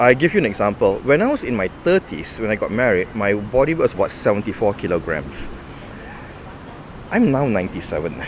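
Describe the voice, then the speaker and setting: A man at a medium pitch, talking at a fairly quick pace with very wide pitch swings over noticeable background noise. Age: 50s. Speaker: bodybuilding coach and lecturer. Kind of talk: interview.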